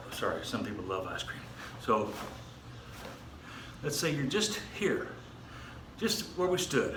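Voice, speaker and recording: A man speaks with very wide pitch swings and long, frequent pauses, amid noticeable background noise and audible room echo. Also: fairly slow pace. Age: 60s. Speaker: martial arts instructor. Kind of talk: exercise tutorial. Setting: outdoors. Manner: halting, many fillers.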